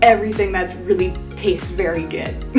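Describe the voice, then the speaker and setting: A woman's voice comes through. Behind her, clear music plays. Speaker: health vlogger. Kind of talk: casual explainer vlog. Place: home room.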